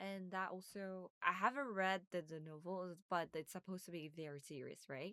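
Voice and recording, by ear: At a moderate pace, a woman speaks with a fairly low pitch, her tone bright and sharp yet clear and smooth. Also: ordinary pitch variation, dry, close sound with no echo.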